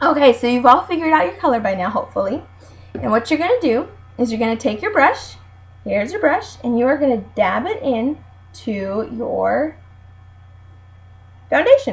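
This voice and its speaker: A high-pitched woman's voice with very wide pitch swings and long, frequent pauses. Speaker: beauty consultant. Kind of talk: tutorial. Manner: fast; animated.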